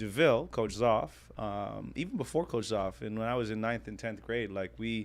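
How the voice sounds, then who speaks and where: In a Canadian accent, a man talks at a moderate pace with a fairly low pitch, lively intonation and vocal fry. The background is quiet. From Canada, Ontario. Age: 30s. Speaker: former pro basketball player, analyst. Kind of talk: casual interview chat.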